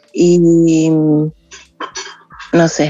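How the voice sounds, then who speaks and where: The speaker is a woman. Her pitch sits fairly low. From southern Chile, small village. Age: 30s. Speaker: podcast listener sharing story. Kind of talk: personal testimony. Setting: video call.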